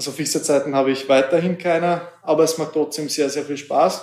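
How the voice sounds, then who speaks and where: A man's monotone, flat delivery at a moderate pace. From Hungary, Sopron. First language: Hungarian (speaking German). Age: 20s. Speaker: former footballer, youth team manager. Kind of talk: interview. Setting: training centre office.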